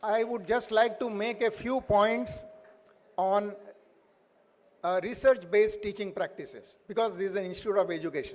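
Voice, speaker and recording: A high-pitched man speaks with a Marathi accent and fairly even intonation, leaving long, frequent pauses. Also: moderate pace. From India. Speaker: invited speaker, education professor. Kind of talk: speech at school annual day. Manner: halting, many fillers.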